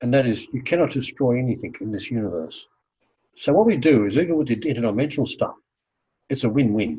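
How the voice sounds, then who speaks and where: A somewhat breathy man with a dark, mellow tone against a quiet background. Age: 70s. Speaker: healing practitioner and teacher. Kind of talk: interview.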